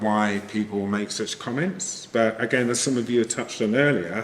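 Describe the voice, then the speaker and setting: A man with an English accent, fairly low in pitch, with fairly even intonation. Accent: pronounced English. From England. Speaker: podcast moderator. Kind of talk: panel discussion. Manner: hesitant with many ums.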